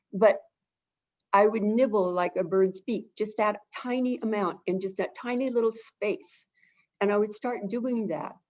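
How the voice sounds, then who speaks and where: A woman has a plain, everyday voice at a fairly high pitch. She talks at a fairly slow pace with ordinary pitch variation. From Southern California. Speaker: avian behavior consultant. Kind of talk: webinar interview.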